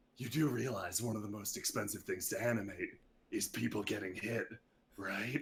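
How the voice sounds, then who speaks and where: A man whispers in a raspy, put-on character voice. His pace is moderate. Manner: whispering.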